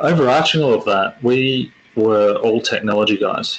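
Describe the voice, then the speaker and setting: With an Australian accent, a man speaks at a moderate pace. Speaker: tech company executive presenter. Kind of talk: webinar presentation. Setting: online webinar. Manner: halting, many fillers and repetitions.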